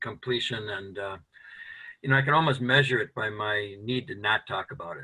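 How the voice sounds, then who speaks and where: A man's medium-pitched, normal speaking voice with an American accent, a moderate pace and ordinary pitch variation. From US Midwest. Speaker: men's work founder. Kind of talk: casual chat.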